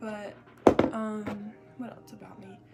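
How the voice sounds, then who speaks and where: With music playing in the background, a woman talks in a fairly high voice with an American accent. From US South, South Georgia. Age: 18. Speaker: beauty vlogger. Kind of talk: casual chat while doing makeup. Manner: chatty, informal.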